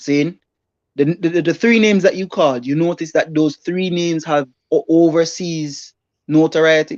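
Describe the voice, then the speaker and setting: Moderate pace in a Jamaican accent, against a quiet background. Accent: Jamaican patois-inflected English. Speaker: livestream co-host. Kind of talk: casual debate on livestream.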